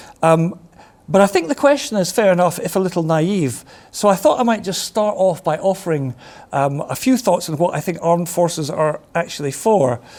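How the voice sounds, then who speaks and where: Lively intonation runs through this man's high-pitched voice. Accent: Scottish. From Scotland, Glasgow. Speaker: retired army officer and defence consultant. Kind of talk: lecture. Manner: fast; hesitant, many fillers.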